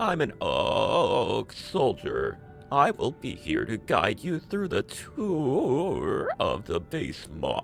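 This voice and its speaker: A man speaks in a put-on character voice at a very slow pace. Clear music plays in the background. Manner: mechanical, polite, helpful.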